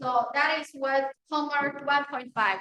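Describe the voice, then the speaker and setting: A woman projects a raised voice with a bright, sharp tone and high pitch. Her pitch varies in an ordinary way. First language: Chinese. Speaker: university lecturer. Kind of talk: lecture. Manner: halting.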